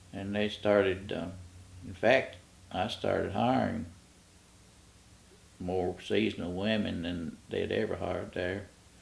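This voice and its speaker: The delivery is fairly slow with fairly even intonation and long, frequent pauses, and audible room echo surrounds it. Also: man, fairly low pitch for a man. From Kentucky. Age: 80s+. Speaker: retired park ranger. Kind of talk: oral history interview. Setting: at home. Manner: halting.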